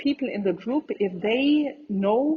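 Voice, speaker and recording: Speaking at a moderate pace, a woman with a German accent uses ordinary pitch variation. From Germany. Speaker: entrepreneur, community founder. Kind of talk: interview answer.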